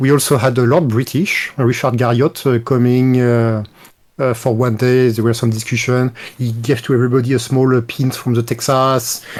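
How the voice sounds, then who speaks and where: A man with a French accent speaks at a moderate pace and medium pitch. His delivery is monotone and flat, with very even loudness. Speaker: retired game developer. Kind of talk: interview.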